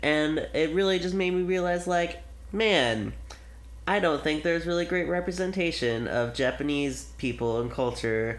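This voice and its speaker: Mumbling at a moderate pace with ordinary pitch variation, a man is heard in audible room echo. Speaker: film podcast host. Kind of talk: casual chat. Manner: animated.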